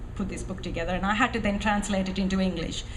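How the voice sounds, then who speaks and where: Room echo can be heard around a woman's voice. Noticeable background noise is also present. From Sri Lanka (Tamil). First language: Tamil. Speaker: author and former militant. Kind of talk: interview at film festival talk. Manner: hesitant, many fillers.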